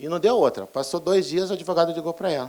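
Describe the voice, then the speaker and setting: A man talks at a very fast pace. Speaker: pharmacist trainer. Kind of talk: lecture.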